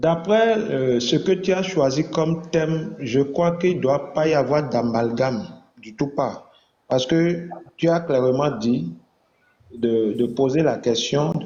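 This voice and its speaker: Audible room echo surrounds a man's voice. He speaks very slowly at a fairly high pitch. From Benin. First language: Fon (speaking French). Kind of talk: online religious debate.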